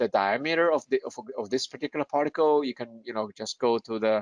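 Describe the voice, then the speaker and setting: Against a quiet background, a man is heard with a dry, close sound and no echo. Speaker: scientist presenter. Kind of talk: technical webinar lecture. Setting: online webinar. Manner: halting, many fillers and repetitions.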